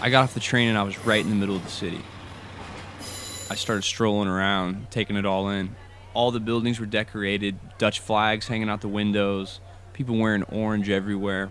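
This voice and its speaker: A man with an American accent speaks fairly quickly in monotone, flat intonation at a fairly low pitch, with noticeable background noise. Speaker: student storyteller. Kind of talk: personal story narration.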